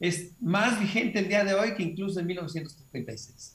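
Ordinary pitch variation at a fairly slow pace. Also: man. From Mexico, Hermosillo, Sonora. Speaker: film director. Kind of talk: interview.

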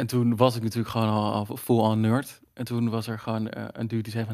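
A man's medium-pitched, monotone voice with flat intonation at a fairly quick pace, on a very clean recording with a silent background. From Netherlands, Zeeland. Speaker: dungeon master. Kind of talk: casual chat.

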